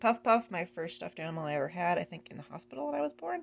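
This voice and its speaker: Vocal fry marks a woman's fairly low voice, which has ordinary pitch variation. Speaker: band member and drum teacher. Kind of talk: casual video room tour. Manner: casual, rambling with fillers.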